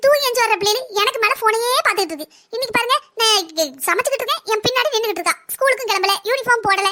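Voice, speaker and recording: A woman puts on a cartoonish character voice at an extremely high pitch. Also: fairly quick pace, ordinary pitch variation. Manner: fast, chatty.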